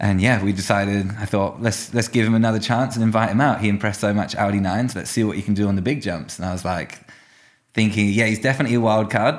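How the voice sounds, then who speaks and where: Speaking at a very fast pace in a British accent, the voice keeps a fairly even intonation. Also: man. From UK. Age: 20s. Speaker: professional mountain biker. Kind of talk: casual chat. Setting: office above a skate park.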